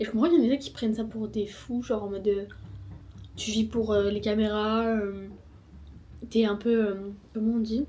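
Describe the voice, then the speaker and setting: A woman mumbles at a moderate pace in a fairly high pitch with fairly even intonation. She leaves long, frequent pauses. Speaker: vlogger. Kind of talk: vlog monologue. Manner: mumbling.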